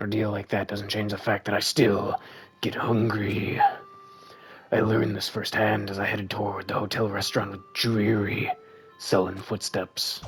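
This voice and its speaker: A man in a put-on character voice, strained, guttural and raspy, fairly low in pitch, at a moderate pace, with clear music in the background. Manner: dreary, sullen.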